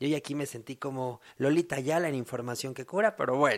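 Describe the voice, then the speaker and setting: At a moderate pace, a man speaks at a fairly high pitch on a very clean recording with a silent background. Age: 20s. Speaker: podcast host. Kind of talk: casual monologue.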